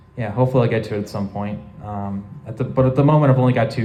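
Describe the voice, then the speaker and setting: Noticeable background noise runs through the clip. Over it, a man talks very fast. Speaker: convention panel presenter. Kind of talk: convention panel Q&A. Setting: convention panel room with audience. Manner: halting, many fillers.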